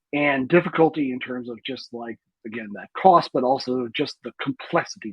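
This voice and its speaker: His pitch varies in an ordinary way. The man's voice sits at a medium pitch. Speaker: guest speaker on learning data. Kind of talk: lecture. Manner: fast.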